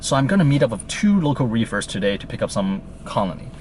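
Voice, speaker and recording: A man with a Chinese accent speaks at a fairly quick pace with lively intonation over noticeable background noise. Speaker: reef aquarium vlogger. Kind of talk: casual vlog.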